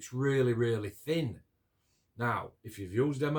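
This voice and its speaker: This man speaks with a South Yorkshire accent at a medium pitch. His pace is fairly slow and his intonation fairly even. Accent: Yorkshire, Barnsley. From northern England, near Barnsley, South Yorkshire. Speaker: scale model builder and hobby video maker. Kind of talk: casual chat, build review to camera.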